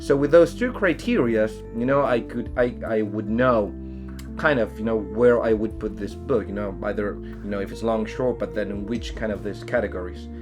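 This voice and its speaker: A man with a Chilean accent over music in the background. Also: moderate pace. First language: Spanish. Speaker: science fiction author. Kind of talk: casual talk to camera. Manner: hesitant, filler-heavy.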